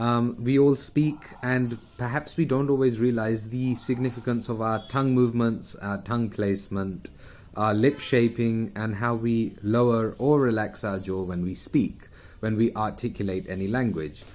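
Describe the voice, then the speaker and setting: With a British accent, a man of medium pitch speaks at a moderate pace with ordinary pitch variation. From UK. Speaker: communication coach. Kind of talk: video talk. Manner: casual, with fillers.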